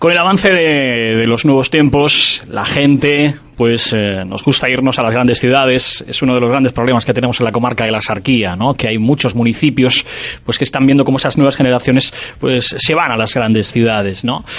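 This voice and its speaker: A man talks at medium pitch and a fairly quick pace, with ordinary pitch variation. Background noise is noticeable. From Vélez-Málaga, Andalusia. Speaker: radio host. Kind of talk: radio interview.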